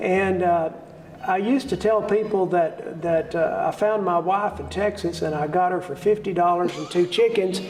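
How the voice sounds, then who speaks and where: A high-pitched male voice with an American accent, fairly even intonation and a moderate pace, amid noticeable background noise and audible room echo. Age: 60s. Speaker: bluegrass musician and event organizer. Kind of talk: interview. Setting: theater.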